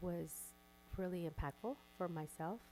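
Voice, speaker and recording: A woman with a fairly low voice speaks with a Spanish accent. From Coachella Valley, California; immigrant. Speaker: school board member, educator. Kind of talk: board workshop discussion.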